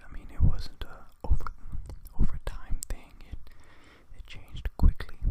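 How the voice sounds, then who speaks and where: Whispering at a moderate pace, with long, frequent pauses. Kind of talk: ASMR casual talk to camera. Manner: whispered.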